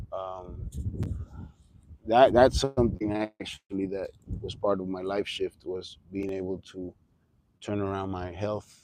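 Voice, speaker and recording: A man with a Spanish accent speaks in a very deep, low voice with a dark, mellow tone. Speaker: livestreamer. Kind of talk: casual livestream monologue. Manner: halting.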